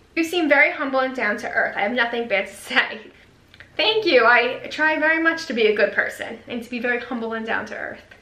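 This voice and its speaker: A woman with a high pitch and an American accent speaks at a fairly quick pace with ordinary pitch variation and big swings in loudness. Audible room echo and noticeable background noise surround her. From New York. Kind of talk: casual vlog, reading viewer comments. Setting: home video recording with ring light.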